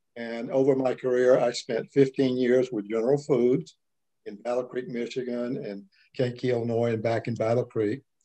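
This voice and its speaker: Over a quiet background, a man speaks with a dark, mellow tone and fairly even intonation. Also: moderate pace. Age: 70s. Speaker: retiree. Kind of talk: casual interview. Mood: relaxed, reflective. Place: home room. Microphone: video call.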